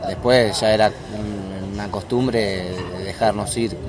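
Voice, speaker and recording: Noticeable background noise and audible room echo around a man's fairly low voice, fairly even in intonation and fairly slow in pace. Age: 20s. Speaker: footballer. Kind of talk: interview. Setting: café.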